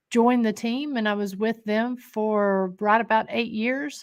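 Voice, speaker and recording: A woman speaks at a moderate pace with fairly even intonation, on a very clean recording with a silent background. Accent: Appalachian. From Scott County, Tennessee (Appalachia). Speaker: paranormal investigator and historic jail co-owner. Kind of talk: podcast interview. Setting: haunted location.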